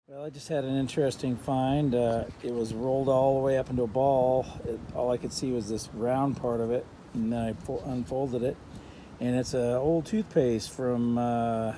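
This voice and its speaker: This man has a dark, mellow tone at medium pitch. His intonation stays fairly even. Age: 60s. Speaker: metal detecting vlogger. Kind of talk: casual outdoor vlog narration. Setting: outdoors. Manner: halting, many fillers.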